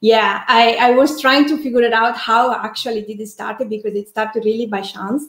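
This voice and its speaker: A woman with an Italian accent talks at a fairly quick pace with fairly even intonation and big swings in loudness, in a quiet background with audible room echo. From Italy. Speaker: architect and online community builder; interview guest. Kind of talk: casual interview. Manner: halting, with many fillers and repetitions. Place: home room.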